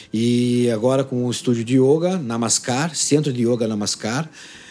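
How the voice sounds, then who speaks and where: Pitched at a medium level, a man speaks in a dark, mellow tone. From Paraná, Brazil. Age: 40s. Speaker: drummer and yoga teacher. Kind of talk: casual interview chat. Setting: at his home.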